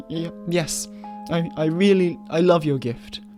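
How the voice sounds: A man's put-on character voice, shaky and fairly high-pitched, at a fairly slow pace with clear music in the background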